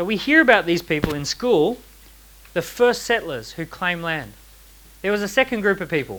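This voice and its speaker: With a bright, sharp tone and lively intonation, a man speaks at a moderate pace in a high pitch. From Australia. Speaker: entrepreneur and author giving a talk. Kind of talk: seminar talk to a live audience. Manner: animated, uses rhetorical questions.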